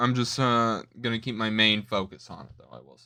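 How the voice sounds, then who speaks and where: Speaking at a moderate pace and a medium pitch, a man has a bright, sharp tone and monotone, flat intonation in a very clean recording with a silent background. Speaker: streamer reacting to videos. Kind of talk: casual livestream chat. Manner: stuttering, trailing off.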